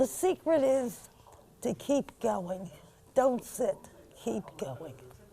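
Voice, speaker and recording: Her voice is fairly high for a woman and swings very widely in pitch, moving at a very slow pace with vocal fry and a dark, mellow tone. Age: 90s. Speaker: retired war nurse. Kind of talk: interview.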